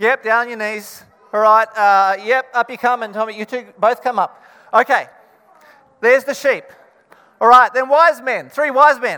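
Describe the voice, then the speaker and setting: A raised, projected voice with an Australian accent keeps a moderate pace and fairly even intonation. Long pauses come often. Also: man, extremely high pitch for a man. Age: 40s. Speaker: pastor. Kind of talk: children's Christmas reenactment; sermon.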